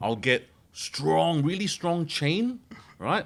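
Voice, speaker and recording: A man speaks loudly in an animated tone. The recording is very clean, with a silent background. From Malaysia. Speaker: mortgage broker. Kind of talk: casual chat.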